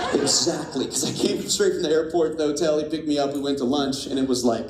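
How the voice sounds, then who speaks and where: Very fast speech in an American accent, with audible room echo and noticeable background noise. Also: man. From US Midwest, Indiana near Fort Wayne. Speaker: pastor. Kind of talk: sermon. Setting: church. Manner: animated.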